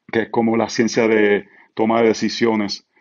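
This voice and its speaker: This man talks in a Puerto Rican accent with a fairly low pitch. His pace is very slow. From Puerto Rico. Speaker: pastor. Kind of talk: podcast interview.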